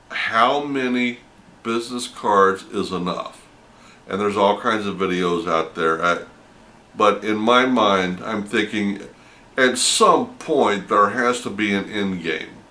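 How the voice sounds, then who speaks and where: In a room with audible echo, a man with a fairly low pitch speaks at a very slow pace with ordinary pitch variation. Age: 60s. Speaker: vending business vlogger. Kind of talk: casual monologue. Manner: halting, with self-corrections.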